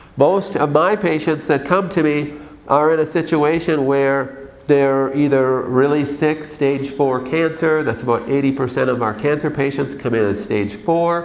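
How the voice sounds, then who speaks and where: A man with an American accent speaks at a fairly slow pace with hardly any pauses and ordinary pitch variation. Audible room echo surrounds the voice. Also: fairly high pitch for a man. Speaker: doctor. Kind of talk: conference talk. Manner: animated.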